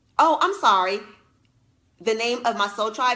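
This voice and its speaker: A woman speaks at a fairly quick pace in an animated tone with lively intonation, as music plays in the background. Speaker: leadership coach and former teacher. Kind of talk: live stream talk to viewers.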